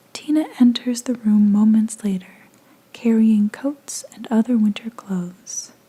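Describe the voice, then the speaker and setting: The speaker is soft-spoken, with a soothing tone and a fairly slow pace. Background noise is noticeable. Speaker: ASMR content creator. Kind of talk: soft-spoken ASMR fanfiction reading. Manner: soft-spoken, soothing.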